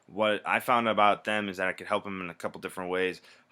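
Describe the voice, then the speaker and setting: At a very fast pace, a man talks in a fairly low pitch. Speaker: video blogger in sales and marketing. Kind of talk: casual video blog monologue. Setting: at home. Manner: animated.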